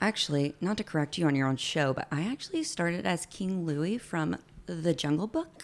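Hers is an unremarkable speaking voice, a woman's at fairly low pitch with an American accent, moving at a moderate pace with ordinary pitch variation. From Alabama, US South. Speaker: former theme park character performer. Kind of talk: casual chat. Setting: home studio.

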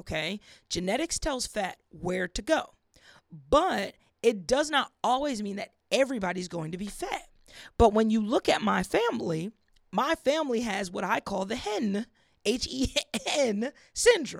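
A woman talks in a plain, everyday voice, fairly high and fairly slow, with lively intonation. The sound is dry and close with no echo. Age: 30s. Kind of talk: casual faith talk monologue. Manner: casual, conversational.

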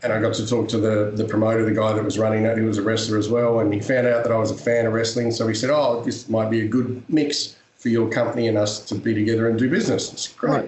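Delivered at a very fast pace with hardly any pauses, this voice keeps a very even loudness and a monotone, flat intonation over noticeable background noise. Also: man, medium pitch for a man. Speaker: professional wrestler and actor. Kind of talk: interview.

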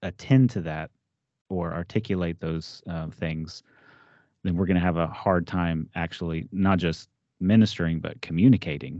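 A man with a very deep, low pitch and an American accent, at a moderate pace with long, frequent pauses. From Texas. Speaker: theology professor and podcast host. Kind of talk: casual interview conversation.

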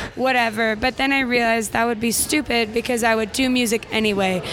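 A woman's high-pitched voice with an American accent, a fairly quick pace and noticeable background noise. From Utah, Orem. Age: 20s. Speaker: singer. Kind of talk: casual chat. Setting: recorded in a cafe.

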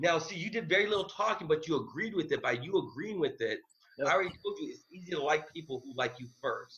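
The raised, projected voice, bright and sharp in tone, races at a very fast pace with very wide pitch swings. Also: man. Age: 30s. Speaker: real estate investor. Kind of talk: interview.

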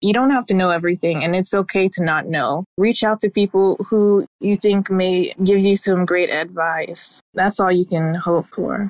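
With an American accent, this plain, everyday voice moves at a moderate pace with fairly even intonation in a dry, close sound with no echo. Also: woman. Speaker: recent graduate. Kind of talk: casual chat.

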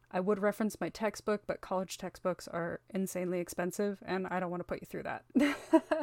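A woman at medium pitch speaks in a normal speaking voice with lively intonation and a fairly quick pace. She hardly pauses, and the sound is dry and close with no echo. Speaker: podcast host. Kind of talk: scripted narration.

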